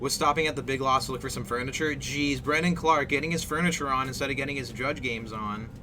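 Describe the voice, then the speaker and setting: Delivered at a very fast pace with hardly any pauses and fairly even intonation, the speech carries audible room echo and noticeable background noise. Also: man, fairly high pitch for a man. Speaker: esports commentator. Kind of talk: live commentary.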